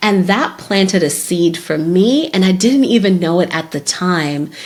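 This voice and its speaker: Against noticeable background noise, a woman with a Zimbabwean accent speaks at a medium pitch and a fairly slow pace, with lively intonation. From Zimbabwe, Harare. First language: Shona. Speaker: podcast host, career development strategist. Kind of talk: solo podcast talk.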